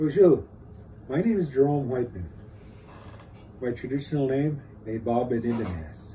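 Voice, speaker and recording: Speaking at a moderate pace with an American accent, a man has a dark, mellow, somewhat breathy tone, lively intonation, and long, frequent pauses. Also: medium pitch for a man. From northern Minnesota reservation. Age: 70s. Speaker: war veteran. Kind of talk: interview testimony. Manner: halting.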